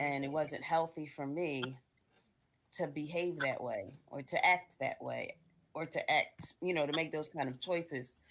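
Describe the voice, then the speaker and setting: A woman's very deep, low pitch, fairly even intonation and fairly slow pace. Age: 60s. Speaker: book club member. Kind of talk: casual discussion. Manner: halting.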